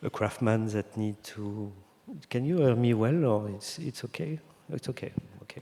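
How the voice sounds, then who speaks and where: This man talks at a moderate pace in a medium pitch, with ordinary pitch variation and a dark, mellow tone. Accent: French. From France (Brittany). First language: French. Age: 50s. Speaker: designer. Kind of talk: interview on stage. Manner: halting.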